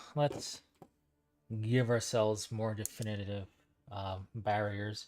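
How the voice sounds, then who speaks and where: The pace is very slow. A man speaks over music in the background. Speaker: hobby livestreamer painting models. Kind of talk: casual livestream tutorial. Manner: halting, many fillers.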